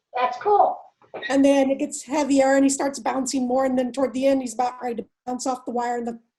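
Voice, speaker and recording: Delivered at a very fast pace in a Texan accent, the voice has a dark, mellow tone and fairly even intonation. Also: woman, high pitch for a woman. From Texas. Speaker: workshop participant. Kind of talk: casual discussion.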